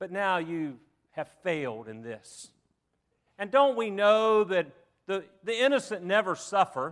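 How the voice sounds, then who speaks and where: On a very clean recording with a silent background, a man with a Southern US accent speaks at a high pitch and a fairly slow pace. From US South. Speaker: preacher. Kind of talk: sermon. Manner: halting.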